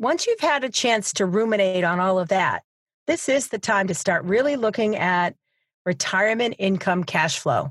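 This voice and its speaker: Delivered at a moderate pace, a normal speaking voice carries lively intonation and very even loudness. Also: woman, medium pitch for a woman. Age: 50s. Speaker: financial advisor and podcast host. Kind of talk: solo podcast talk. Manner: conversational.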